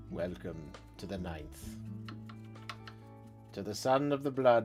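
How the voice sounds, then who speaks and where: Doing a put-on character voice, a man speaks fairly slowly at a fairly low pitch, with very wide pitch swings and big jumps in loudness, while music plays clearly behind him. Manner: grim, villainous.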